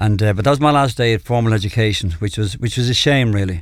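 With a fairly low voice, a man rattles along at a very fast clip. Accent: Dublin. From Ireland, Dublin (Clontarf). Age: 60s. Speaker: evangelist, former addict. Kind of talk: testimony. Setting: radio studio.

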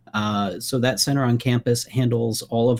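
A man with a plain, everyday voice speaks at a moderate pace and a medium pitch. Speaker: political science professor. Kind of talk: radio interview.

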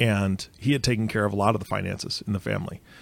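Recorded very cleanly against a silent background, a man with fairly low pitch and vocal fry talks at a fairly quick pace with ordinary pitch variation. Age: 40s. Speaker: podcast host. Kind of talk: casual chat.

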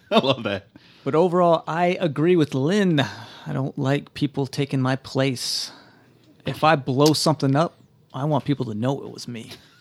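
Dry and close with no echo, a man's plain, everyday voice comes at a moderate pace and a fairly high pitch. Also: ordinary pitch variation. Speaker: podcast co-host and roleplaying player. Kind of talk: tabletop roleplaying actual play, casual chat.

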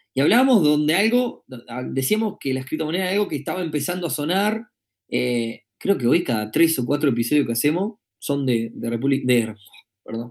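This man's voice sits fairly high and swings very widely in pitch. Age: 30s. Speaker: podcast host. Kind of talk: live-streamed podcast monologue. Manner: casual with frequent filler words.

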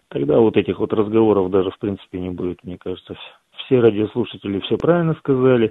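A man's plain, everyday voice, fairly low, fairly quick and with lively intonation. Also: big swings in loudness. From Krasnoyarsk. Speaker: caller. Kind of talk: casual chat. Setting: phone call.

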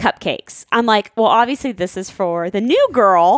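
A woman's fairly high, animated voice with very wide pitch swings, in a dry, close sound with no echo. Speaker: podcast co-host. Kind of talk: casual chat.

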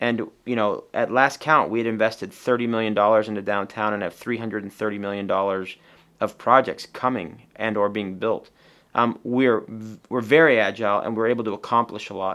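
In an American accent, a man with a normal speaking voice talks at a fairly quick pace and fairly low pitch, his intonation fairly even. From Tucson, Arizona. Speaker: business owner and civic leader. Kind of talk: interview.

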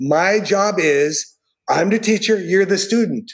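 Ordinary pitch variation marks this speech in an American accent. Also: man. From Northern California. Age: 60s. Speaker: martial arts instructor. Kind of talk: casual chat.

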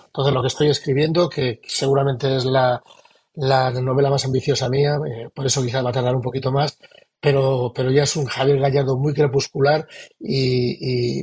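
The voice is somewhat breathy at a moderate pace. Its intonation is monotone and flat. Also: man. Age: 60s. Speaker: novelist. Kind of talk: interview. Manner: halting.

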